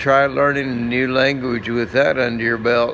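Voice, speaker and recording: A man speaks at a medium pitch and a fairly slow pace, with fairly even intonation. Audible room echo and noticeable background noise are present. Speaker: vlogger, stroke survivor. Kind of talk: casual vlog monologue. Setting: walking outdoors in a courtyard. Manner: halting, searching for words.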